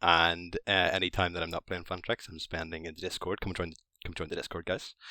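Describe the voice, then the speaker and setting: A man speaks in a bright, sharp tone. The sound is dry and close with no echo, on a very clean recording with a silent background. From Northern Ireland. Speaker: Discord moderator and fantasy football player. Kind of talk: casual chat.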